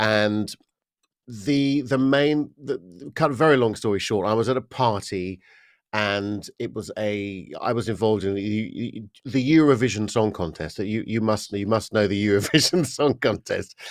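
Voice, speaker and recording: A man speaks at a moderate pace with an English accent, his pitch fairly low and his pitch variation ordinary. The recording is very clean, with a silent background. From England, Estuary. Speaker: voice coach and singer. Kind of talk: podcast interview. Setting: podcast.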